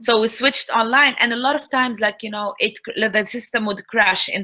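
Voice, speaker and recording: In an Arabic accent, a woman with a bright, sharp tone and fairly high pitch speaks at a moderate pace with ordinary pitch variation. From Tunisia. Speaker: Arabic language instructor. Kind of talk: online talk.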